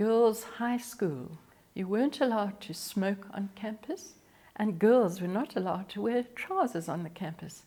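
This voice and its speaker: A woman speaks with a fairly high pitch and a dark, mellow tone, somewhat breathy. Her intonation is lively and her pace fairly slow. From South Africa, Eastern Cape (Grahamstown). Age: 70s. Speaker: elderly interviewee. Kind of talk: life story interview.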